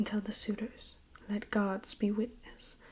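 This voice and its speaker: A woman whispers. Her voice is soft-spoken and somewhat breathy. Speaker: ASMR reader. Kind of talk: poetry reading of epic text. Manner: whispered, soft-spoken.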